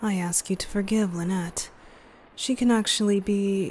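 The voice has a gentle tone and a fairly slow pace, with light background noise behind it. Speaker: ASMR roleplay voice actor. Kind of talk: soft ASMR roleplay monologue. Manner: gentle, low ASMR voice.

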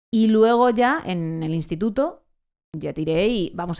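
A woman's animated tone with ordinary pitch variation over a quiet background. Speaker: late-night radio presenter; radio presenter. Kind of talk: casual chat. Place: studio. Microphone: studio mic.

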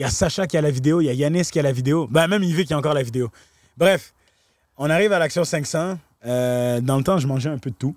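Very fast, animated speech with ordinary pitch variation comes through against a quiet background. The sound is dry, with no echo. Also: man. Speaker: talent manager and fixer for celebrities; podcast guest. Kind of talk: casual podcast interview, storytelling. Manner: animated, mixes English slang into French. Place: farm machine. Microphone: handheld.

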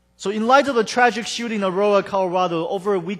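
A man speaks in a high voice with ordinary pitch variation against a quiet background. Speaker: pastor. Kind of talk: sermon. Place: church.

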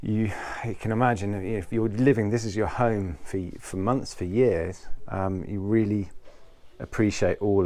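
At a moderate pace, a man talks in an unremarkable speaking voice with a fairly low pitch and ordinary pitch variation. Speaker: yacht reviewer. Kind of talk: boat tour walkthrough. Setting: outdoors on a sailing catamaran. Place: boat. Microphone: phone near.

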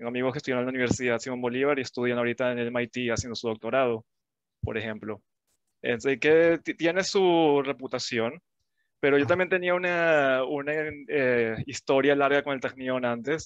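A man's voice, moderately paced, pitch moving in an ordinary way, the background quiet. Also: dry sound with no echo. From Venezuela (Caracas). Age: 20s. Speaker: engineer; interviewee. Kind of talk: interview. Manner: halting, with many fillers. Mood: friendly, thoughtful. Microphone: headset.

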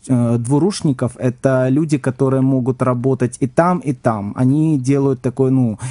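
Man with a dark, mellow tone, fairly even intonation and a moderate pace against a quiet background. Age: 30s. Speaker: psychic; radio guest. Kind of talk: radio interview. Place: studio. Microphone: studio mic.

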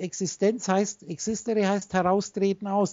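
A woman at a fairly slow pace over a quiet background. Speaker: spiritual teacher on a call. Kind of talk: instructive monologue to a call partner. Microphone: video call.

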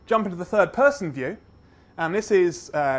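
A man speaks with ordinary pitch variation. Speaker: conference presenter. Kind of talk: lecture. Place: hall.

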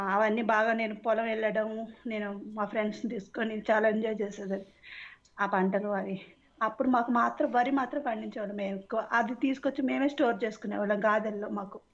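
Fairly high in pitch, a woman with an unremarkable speaking voice keeps a fairly even intonation. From Andhra Pradesh (Palakollu, West Godavari). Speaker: caller. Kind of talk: casual chat.

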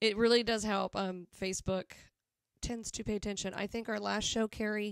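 A woman reads in a Southern US accent at a moderate pace, fairly high-pitched and monotone, with a dry sound with no echo over a quiet background. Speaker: band member hosting a live show. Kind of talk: casual live-stream chat. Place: home room. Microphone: studio mic.

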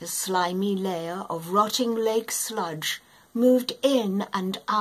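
Heard here is an unforced reading voice with ordinary pitch variation.

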